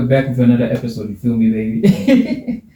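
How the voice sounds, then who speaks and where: Amid noticeable background noise, a man speaks at a fairly quick pace and a medium pitch. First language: not English. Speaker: podcast host. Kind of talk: casual chat; reading aloud. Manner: halting.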